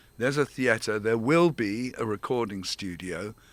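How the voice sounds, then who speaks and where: Very clean and with a silent background, this recording features a man at a medium pitch. He speaks at a fairly slow pace in a bright, sharp tone. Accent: English. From England. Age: 70s. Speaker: theater director and founder. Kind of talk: interview.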